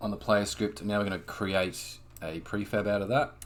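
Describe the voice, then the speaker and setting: A man with a very deep, low voice speaks at a moderate pace over noticeable background noise. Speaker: game developer. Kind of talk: tutorial. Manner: casual.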